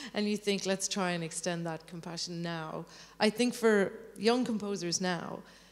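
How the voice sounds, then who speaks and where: Her Irish accent comes through as a woman speaks at a medium pitch and moderate pace with ordinary pitch variation. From Ireland. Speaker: composer. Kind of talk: interview on stage.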